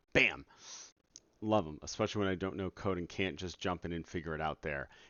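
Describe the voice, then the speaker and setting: A man with a very deep, low voice. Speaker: game developer streamer. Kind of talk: casual live stream. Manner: trying to be quiet.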